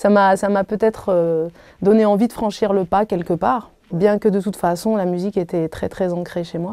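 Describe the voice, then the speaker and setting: A woman speaks in a dark, mellow tone with fairly even intonation and big swings in loudness, the sound dry and close with no echo. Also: medium pitch for a woman, moderate pace. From Algeria. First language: Arabic (speaking French). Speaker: singer. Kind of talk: interview. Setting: hotel room. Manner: halting.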